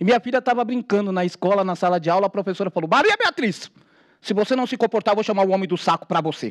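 Against a quiet background, a man with a high pitch talks at a very fast pace with ordinary pitch variation. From São Paulo, Brazil. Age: 40s. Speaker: activist, formerly homeless; speaker. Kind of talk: testimony. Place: hall. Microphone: podium.

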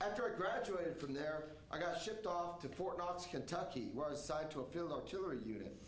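A man's high-pitched voice with an American accent, very fast with ordinary pitch variation and audible room echo. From Oregon. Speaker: army veteran. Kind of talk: stage storytelling performance. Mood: reflective, earnest. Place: stage.

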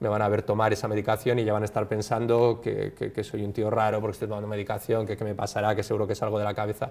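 A man speaks at a very fast pace in a fairly low pitch. His intonation stays monotone and flat. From Basque Country, Bilbao. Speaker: clinical psychologist and university lecturer. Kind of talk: interview. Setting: studio. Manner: halting, many fillers. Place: studio.

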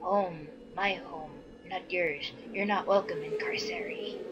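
A female-sounding voice performs a put-on character voice at a fairly slow pace. Clear background noise runs underneath. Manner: hostile, rude.

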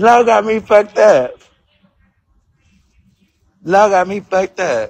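A man is shouting. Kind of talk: casual vlog chat. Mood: annoyed, weary. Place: station. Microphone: phone near.

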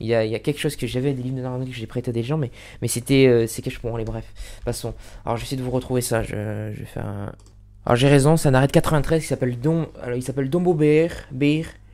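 A man's very fast speech, medium in pitch, with a dark, mellow tone and fairly even intonation. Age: 20s. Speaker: law video tutor. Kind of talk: casual lecture to camera. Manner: halting, many fillers and repetitions. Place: home room. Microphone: studio mic.

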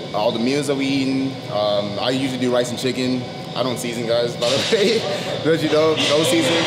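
Loud background noise runs behind a man's voice. He talks at a fairly quick pace with ordinary pitch variation. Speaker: vlogger. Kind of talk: casual vlog chat. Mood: upbeat, laughing. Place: gym. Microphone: phone near.

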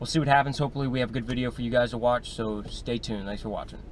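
Very fast and with fairly even intonation, a man speaks in a dry sound with no echo over light background noise. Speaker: fishing vlogger. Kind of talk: casual vlog chat. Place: car. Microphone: phone near.

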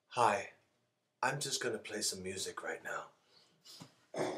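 Using a raspy put-on character voice at a medium pitch, a man speaks at a fairly slow pace. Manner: campy, exaggerated.

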